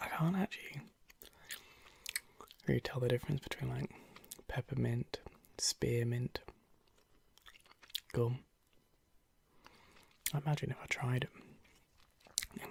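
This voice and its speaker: Relaxed in tone, a man speaks at a moderate pace in a dry, close recording with no echo. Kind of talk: casual talk to camera with gum chewing. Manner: relaxed, rambling, conversational.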